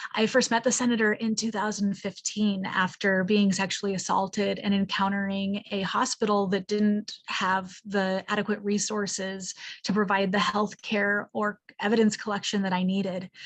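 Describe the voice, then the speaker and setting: Somewhat breathy, a woman speaks in a flat monotone. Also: medium pitch for a woman, moderate pace. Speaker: party member, advocate. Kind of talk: prepared speech at meeting. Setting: meeting.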